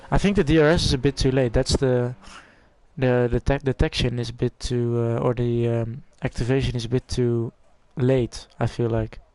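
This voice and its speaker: Recorded dry and close with no echo, the voice has a dark, mellow tone, a Dutch accent and fairly even intonation. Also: man, medium pitch for a man, moderate pace. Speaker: esports race commentator. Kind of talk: live commentary.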